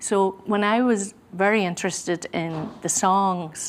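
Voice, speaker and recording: A woman with a Donegal accent. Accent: Donegal Irish. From Ireland, Gweedore, County Donegal. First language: Irish Gaelic. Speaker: musician and singer. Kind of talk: interview. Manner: hesitant, many fillers.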